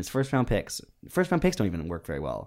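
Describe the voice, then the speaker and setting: On a very clean recording with a silent background, a man talks with vocal fry. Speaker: podcast host. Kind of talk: casual comedic banter; comedy ad parody. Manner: mock-salesman patter, bouncy and exaggerated.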